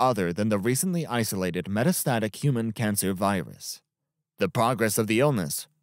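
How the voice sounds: Against a quiet background, the speaker uses a natural reading voice with lively intonation.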